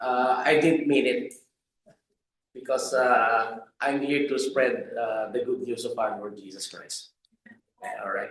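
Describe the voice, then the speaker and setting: Long, frequent pauses break up this man's speech. His pace is very slow. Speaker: preacher. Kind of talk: sermon. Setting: church pulpit.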